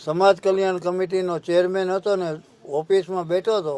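The speaker is a man. His pitch is high. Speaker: former mayor and politician. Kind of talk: personal testimony.

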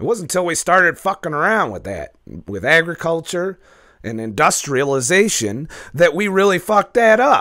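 A man speaks with a high pitch and an animated tone. His pitch swings very widely. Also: moderate pace. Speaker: YouTuber, keto diet commentator. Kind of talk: casual profane monologue video. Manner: profane, animated ranting.

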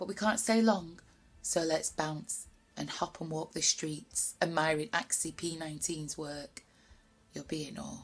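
In an animated, playful tone, a woman speaks fairly slowly at a fairly low pitch, with ordinary pitch variation and big swings in loudness. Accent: Greater Manchester. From Bury, Greater Manchester. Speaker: poet. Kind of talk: spoken word poetry performance. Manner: animated, playful, rhythmic, chatty. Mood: playful, lively. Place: home room. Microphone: webcam.

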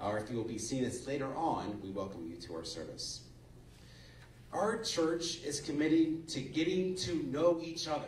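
With lively intonation, a man talks at a moderate pace. Audible room echo and light background noise are present. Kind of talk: announcements to a congregation. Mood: friendly, lightly joking. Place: church.

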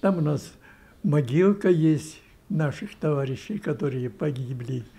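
Lively intonation marks this man's dark, mellow voice. He sounds somewhat breathy and speaks at a fairly slow pace. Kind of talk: interview answer. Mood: emotional recollection, joyful at end. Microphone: handheld.

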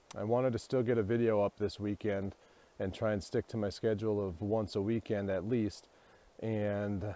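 A man's fairly low, dark, mellow voice, monotone and flat, at a moderate pace in a dry sound with no echo. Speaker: vlogger photographer. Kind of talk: casual vlog chat. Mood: reflective, slightly subdued. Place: forest. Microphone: earbuds.

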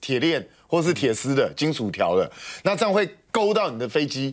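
A man at a very fast pace, with fairly high pitch and lively intonation, over a quiet background. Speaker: military affairs commentator. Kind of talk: explanatory commentary. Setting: TV studio. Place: studio.

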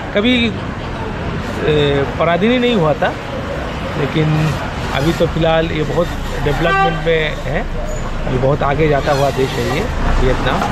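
Against crowd noise in the background, a man speaks at a fairly slow pace with long, frequent pauses. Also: ordinary pitch variation. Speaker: travel vlogger. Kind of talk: casual vlog chat. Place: street. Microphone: lapel.

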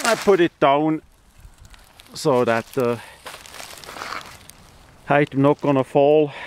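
The voice moves at a slow pace with a clear, smooth tone and ordinary pitch variation, in a dry, close sound with no echo. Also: man, fairly high pitch for a man.

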